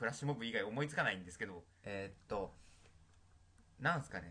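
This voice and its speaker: A man's bright, sharp tone with vocal fry and very wide pitch swings. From Tokyo. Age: young. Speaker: university student podcast co-host. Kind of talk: casual chat.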